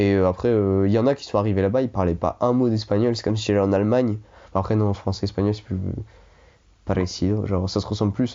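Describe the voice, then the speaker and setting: A man's fairly low-pitched voice at a very fast pace, with fairly even intonation. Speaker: former exchange student. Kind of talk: casual chat.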